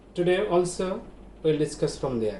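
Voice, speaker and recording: A man in a Bangladeshi accent, high in pitch, at a fairly slow pace. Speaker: English teacher. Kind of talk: online classroom lecture.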